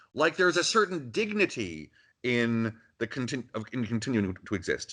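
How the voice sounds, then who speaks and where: A man with a Canadian accent has a bright, sharp tone, vocal fry and very wide pitch swings. The background is quiet. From Canada, Ontario. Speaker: philosophy professor. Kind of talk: interview.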